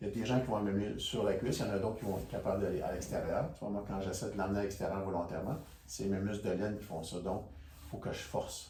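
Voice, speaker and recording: A man talks at a very fast pace with a fairly low pitch and ordinary pitch variation. Noticeable background noise and audible room echo are present. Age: 60s. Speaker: stretching instructor. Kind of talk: tutorial. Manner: casual, conversational.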